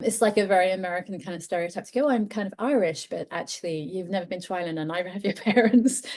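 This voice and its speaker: A woman with an English accent speaks at a very fast pace with hardly any pauses, using a medium pitch and ordinary pitch variation. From England. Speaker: author. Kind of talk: podcast interview.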